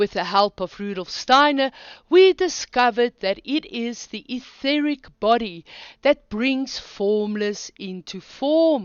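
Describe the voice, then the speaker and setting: The voice swings very widely in pitch and heavily in loudness, moving at a very slow pace. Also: woman, high pitch for a woman. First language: not English. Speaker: online philosophy teacher. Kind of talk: lecture.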